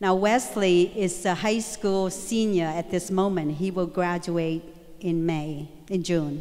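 A woman with a fairly low voice speaks at a very even loudness and with fairly even intonation over noticeable background noise. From Vietnam. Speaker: guest speaker sharing her story. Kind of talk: motivational speech to school assembly. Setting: school assembly stage with audience.

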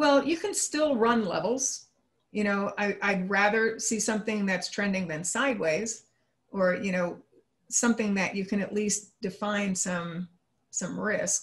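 A woman speaks in a normal speaking voice of medium pitch, with ordinary pitch variation. Her pace is fairly slow and the background is quiet. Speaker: trading analyst. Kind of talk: interview. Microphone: video call.

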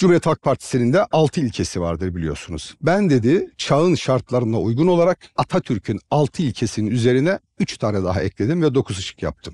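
A man speaks at a fairly quick clip with hardly any pauses, his dark, mellow tone carrying vocal fry and very wide pitch swings in a dry recording with no echo. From Trabzon, Turkey; Turkey. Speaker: mayoral candidate; candidate. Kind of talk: public Q&A with audience. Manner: formal. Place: stage. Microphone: headset.

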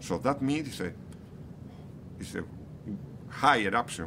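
Noticeable background noise accompanies a man speaking with a Spanish accent. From Canary Islands, Spain. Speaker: geology professor. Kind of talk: interview. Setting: outdoors near active volcano. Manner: halting, many repetitions and fillers. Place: street.

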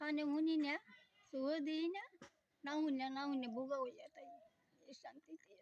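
Her high pitch and fairly even intonation come with big swings in loudness as this woman speaks. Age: 70s. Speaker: elderly widowed villager. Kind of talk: interview answers.

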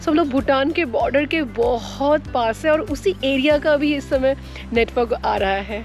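Fairly slow speech with faint music in the background. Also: woman, dry sound with no echo. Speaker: travel vlogger. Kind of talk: casual vlog chat. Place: forest. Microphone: phone near.

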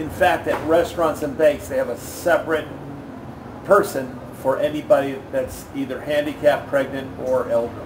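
A man's fairly high-pitched voice at a moderate pace, fairly even in intonation, over noticeable background noise. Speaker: expat and ebook author. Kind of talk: casual interview. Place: hall. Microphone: phone near.

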